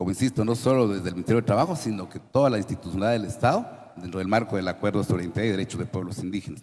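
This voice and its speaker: Ordinary pitch variation runs through this very fast delivery. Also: man, fairly low pitch for a man. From Guatemala. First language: Kaqchikel (speaking Spanish). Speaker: government official. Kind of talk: panel forum talk. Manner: formal.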